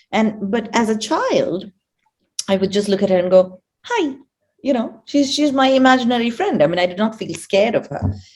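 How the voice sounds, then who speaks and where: With lively intonation, a woman speaks at a moderate pace in a fairly high, somewhat breathy voice. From South India, Kerala. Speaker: energy coach. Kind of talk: interview. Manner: halting.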